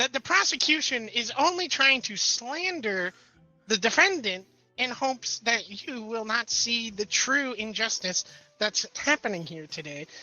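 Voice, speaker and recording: Over faint background music, a female-sounding voice does a put-on character voice at a fairly high pitch for a woman and a moderate pace. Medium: game stream. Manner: stammering, theatrical.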